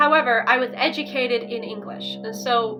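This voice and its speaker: Here is a woman with an American accent and an unremarkable speaking voice. Her pitch is fairly high and her intonation fairly even. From Ukraine, raised by American parents. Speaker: vlogger. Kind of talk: casual chat.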